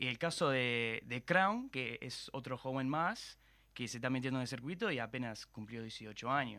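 With a bright, sharp tone, a man speaks at medium pitch with ordinary pitch variation, recorded very cleanly with a silent background. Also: moderate pace. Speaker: freestyle rap commentator. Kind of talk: casual chat.

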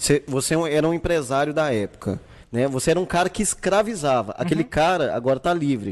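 The voice moves at a very fast pace with lively intonation. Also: man, fairly high pitch for a man, very even loudness. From Brazil, Santa Cruz periphery. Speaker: podcast host. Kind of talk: casual chat. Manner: animated.

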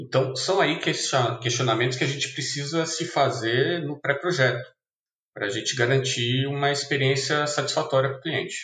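At a moderate pace, a man speaks with fairly high pitch. His intonation is fairly even. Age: 30s. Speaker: front-end developer. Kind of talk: casual chat. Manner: halting.

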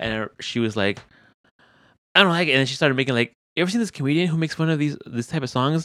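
Mumbled speech from a man with a fairly high, bright, sharp voice, very fast with lively intonation and long, frequent pauses, on a very clean recording with a silent background. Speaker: podcast host. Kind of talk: casual chat; heartfelt closing message. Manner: mumbling.

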